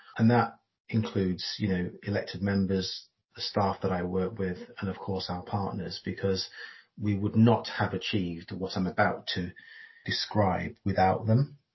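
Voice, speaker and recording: Somewhat breathy, a man speaks in a monotone with flat intonation. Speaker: council chief executive. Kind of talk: casual interview.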